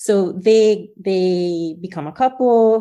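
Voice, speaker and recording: The recording is very clean, with a silent background. The tone is dark and mellow. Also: woman. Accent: New Jersey. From New Jersey, US (born in Guyana, moved at six). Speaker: author. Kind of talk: interview.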